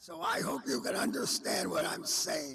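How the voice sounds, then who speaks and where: Background noise is noticeable here. Through it comes the voice of a man. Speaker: cheerleader, hall of fame inductee. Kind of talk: memorial tribute speech. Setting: celebration of life event.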